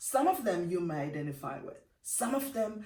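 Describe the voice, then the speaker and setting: A woman speaks at a moderate pace in a Jamaican accent, her tone animated and her intonation lively. Audible room echo and noticeable background noise fill the recording. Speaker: motivational speaker. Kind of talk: motivational talk.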